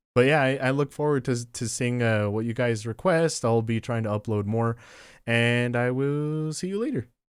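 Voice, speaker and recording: A man with a plain, everyday voice speaks at a medium pitch and a moderate pace, with ordinary pitch variation, on a very clean recording with a silent background. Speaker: artist and YouTuber. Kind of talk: casual voiceover over drawing video. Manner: relaxed, laid-back.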